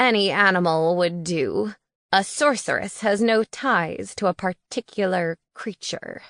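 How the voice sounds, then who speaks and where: Using a put-on character voice at a medium pitch, a woman speaks at a fairly slow pace in a dry, close sound with no echo. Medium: read story. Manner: formal, blunt.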